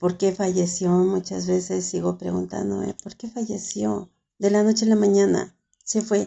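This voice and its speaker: A woman with a Mexican accent speaks at a fairly slow pace. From Mexico. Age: 70s. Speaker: writer and caregiver. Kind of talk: interview testimony.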